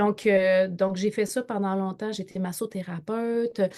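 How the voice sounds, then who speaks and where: Speaking in a Quebec accent, a woman has a medium-pitched voice with a dark, mellow tone and monotone, flat intonation. Her fairly slow delivery sits on a very clean recording with a silent background. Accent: Québécois French. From Quebec, northern. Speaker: entrepreneur and network marketer. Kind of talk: interview. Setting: live video stream. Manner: halting, many repetitions and fillers.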